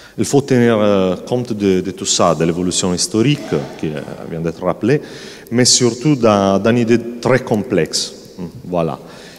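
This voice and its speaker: Fairly low male voice with lively intonation, a fairly slow pace and long, frequent pauses, music in the background. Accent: strong Sardinian. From Sardinia, Italy. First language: Italian (speaking French). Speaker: panel guest, churchman. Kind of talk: public talk at literary festival. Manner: halting, many hesitations.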